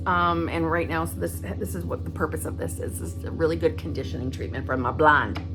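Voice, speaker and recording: A woman talks at a fairly quick pace in a very deep, low pitch. Her intonation is fairly even, with music in the background. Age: 50s. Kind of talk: casual talk to camera. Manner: casual, chatty.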